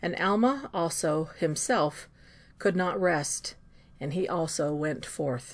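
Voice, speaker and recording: Speaking at a fairly slow pace, a woman with an ordinary speaking voice, fairly low pitch and lively intonation is heard on a very clean recording with a silent background. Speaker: scripture reader. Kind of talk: scripture read-aloud.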